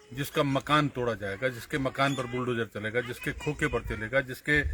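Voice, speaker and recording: A man is speaking. Background noise is noticeable. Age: 60s. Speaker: politician. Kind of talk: political commentary. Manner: halting.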